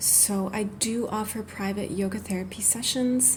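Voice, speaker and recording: A soft-spoken woman with a gentle tone, medium pitch and ordinary pitch variation, amid noticeable background noise and audible room echo. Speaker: yoga therapist. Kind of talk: guided meditation. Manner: gentle, soft-spoken.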